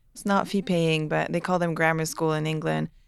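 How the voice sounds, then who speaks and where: A woman speaks at a fairly low pitch in a French Canadian accent. The recording is very clean, with a silent background. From Quebec (Montreal). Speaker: aerospace engineer. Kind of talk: interview.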